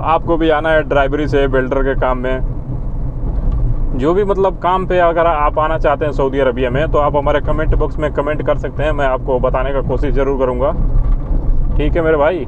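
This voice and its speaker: At a fairly slow pace and with fairly even intonation, a man talks in a dry sound with no echo while noticeable background noise runs behind him. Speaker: vlogger working abroad. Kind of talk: casual vlog chat. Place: car. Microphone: lapel.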